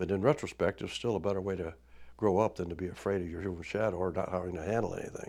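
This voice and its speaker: A very deep, low male voice with a Midwestern US accent, at a very fast pace, with fairly even intonation. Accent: US Midwest. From Indiana. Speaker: oral history storyteller. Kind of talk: oral history interview. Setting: studio. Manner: halting.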